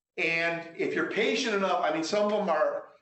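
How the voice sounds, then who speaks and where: There is audible room echo as a man with a high pitch speaks at a moderate pace. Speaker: math instructor. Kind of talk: course orientation talk. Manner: loud; halting, many repetitions.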